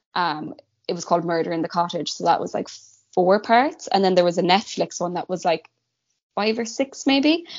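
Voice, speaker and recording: Someone with a Cork accent speaks at a moderate pace with lively intonation. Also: woman, medium pitch for a woman. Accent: Cork Irish. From Ireland, Cork. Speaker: guest co-host. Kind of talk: casual chat, true crime storytelling.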